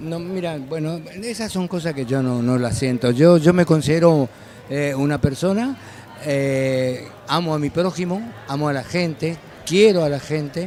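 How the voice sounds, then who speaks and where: Over noticeable background noise, a man with a fairly high pitch and ordinary pitch variation speaks at a fairly slow pace. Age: 70s. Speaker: chamamé musician. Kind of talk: interview. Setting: festival.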